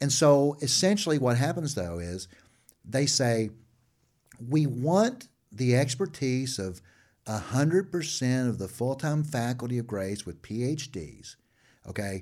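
Over a silent background in a very clean recording, a man with medium pitch speaks at a fairly slow pace, using lively intonation and long, frequent pauses. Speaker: seminary dean, professor. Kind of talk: interview, casual and testimonial. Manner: animated, conversational.

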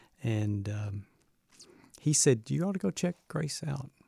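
In a somewhat breathy voice with a Southern US accent, a man speaks at a fairly slow pace, the sound dry and close with no echo. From US South, Birmingham, Alabama. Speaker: university president. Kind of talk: interview.

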